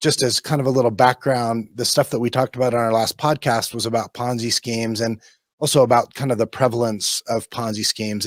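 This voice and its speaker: Fairly quick, monotone, flat speech with an American accent and a dry, close sound with no echo. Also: man. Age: 50s. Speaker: securities lawyer. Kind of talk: podcast interview. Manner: hesitant, many fillers.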